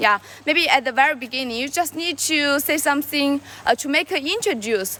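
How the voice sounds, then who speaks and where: A woman with a raised, projected voice at high pitch, ordinary pitch variation and a moderate pace, with noticeable background noise. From China. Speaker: live streamer. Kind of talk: casual live stream chat. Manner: halting, with many fillers and repetitions.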